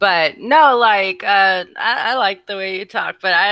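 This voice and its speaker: On a very clean recording with a silent background, a woman speaks at a medium pitch in a bright, sharp tone with ordinary pitch variation. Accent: slight Texan. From Texas, Dallas. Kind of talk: casual chat. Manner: animated.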